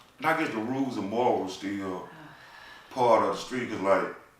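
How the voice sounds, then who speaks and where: A man speaks at a moderate pace, with audible room echo and noticeable background noise in the recording. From US South, small town. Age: 40s. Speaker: tax business owner and nonprofit founder. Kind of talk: casual chat.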